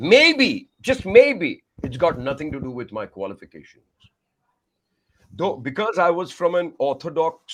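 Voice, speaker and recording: A man with a Tamil accent speaks at a fairly slow pace. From India, Madhya Pradesh and Maharashtra. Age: 50s. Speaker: communication coach and singer. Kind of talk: podcast interview. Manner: animated.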